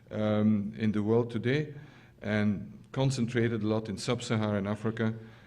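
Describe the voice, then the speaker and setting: A man's fairly low, dark, mellow voice at a moderate pace, with fairly even intonation, very even loudness and audible room echo. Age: 60s. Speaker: scientist. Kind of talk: lecture. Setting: stage with audience. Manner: halting, many fillers.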